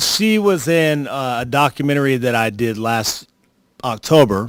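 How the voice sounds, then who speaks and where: A normal speaking voice from a man, medium in pitch, with lively intonation and a fairly slow pace. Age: 50s. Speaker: documentary filmmaker. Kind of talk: tribute speech.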